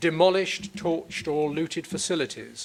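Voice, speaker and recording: Here is a man with a plain, everyday voice. His pitch is fairly high, with ordinary pitch variation. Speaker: prosecutor. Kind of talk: courtroom opening statement. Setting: courtroom. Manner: formal.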